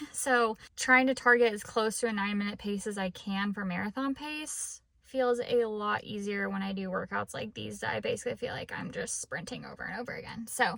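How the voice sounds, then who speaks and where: Her pitch is fairly high, and the woman speaks at a moderate pace with ordinary pitch variation. Noticeable background noise runs underneath. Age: 30s. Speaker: fitness vlogger. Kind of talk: casual vlog talk to camera.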